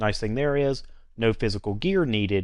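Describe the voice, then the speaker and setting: Against a quiet background, a man talks at a fairly quick pace with a North Carolina accent. His pitch is fairly low, with ordinary variation. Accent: North Carolina Southern. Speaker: IT trainer and network engineer. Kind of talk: tutorial. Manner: casual, conversational with fillers.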